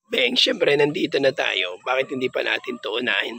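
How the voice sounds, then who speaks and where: Noticeable background noise is present. Through it, a man talks fairly quickly. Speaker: pigeon breeder vlogger. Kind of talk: casual vlog tour.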